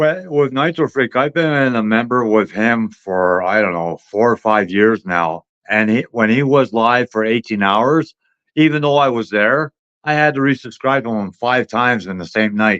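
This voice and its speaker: Close and dry with no echo, an unremarkable speaking voice comes from a man talking at a moderate pace and medium pitch with ordinary pitch variation. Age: 60s. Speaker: caller, longtime viewer. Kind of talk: casual chat.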